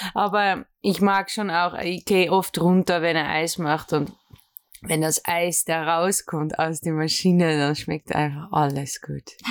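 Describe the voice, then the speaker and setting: This woman talks at a very slow pace with a fairly low pitch. Her intonation stays fairly even, and the recording is very clean with a silent background. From Netherlands. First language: Dutch (speaking German). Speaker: café owner. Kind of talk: interview. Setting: ice cream lab. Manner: halting.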